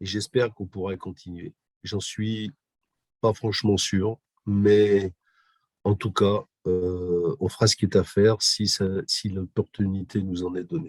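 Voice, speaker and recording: The speech is very slow, broken by long, frequent pauses. Intonation stays fairly even, and the sound is dry and close with no echo. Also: man, fairly low pitch for a man. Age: 60s. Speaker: physiotherapist and humanitarian volunteer. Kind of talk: interview. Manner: hesitant, many fillers.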